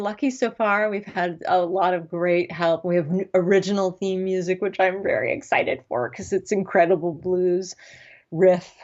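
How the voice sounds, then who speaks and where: A woman speaks at a moderate pace. Her pitch is medium, with ordinary pitch variation. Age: 40s. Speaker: writer and epilepsy advocate. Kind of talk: podcast interview. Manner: halting.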